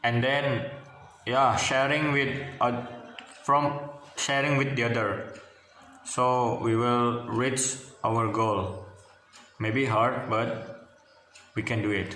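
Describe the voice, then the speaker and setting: Over noticeable background noise and audible room echo, a man with an Indonesian accent speaks at medium pitch and a very slow pace, with long, frequent pauses, very even loudness and fairly even intonation. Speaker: university student. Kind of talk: class presentation. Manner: halting.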